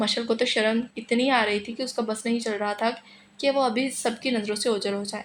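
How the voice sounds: Fairly even intonation in a natural reading voice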